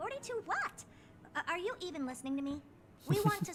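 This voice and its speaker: In a squeaky, put-on character voice, a woman talks at a very fast pace with extremely high pitch and lively intonation over clear background noise. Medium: video game. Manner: confident, brisk, slightly condescending.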